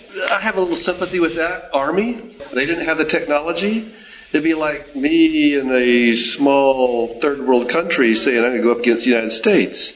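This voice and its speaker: The speaker's lively intonation runs with hardly any pauses over noticeable background noise. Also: man, fairly high pitch for a man, moderate pace. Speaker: class member. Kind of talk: group discussion comment.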